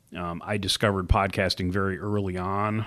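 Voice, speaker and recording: Against a quiet background, the speaker moves at a fairly slow pace. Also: man. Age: 50s. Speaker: podcast host and bike shop owner. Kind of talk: solo casual monologue. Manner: hesitant, many fillers.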